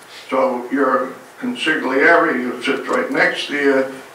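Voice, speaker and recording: Through audible room echo and light background noise, a man with an American accent speaks in a flat monotone at a fairly high pitch. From New Jersey. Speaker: resident commenting at public meeting. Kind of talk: public comment. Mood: critical, accusatory. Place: meeting room.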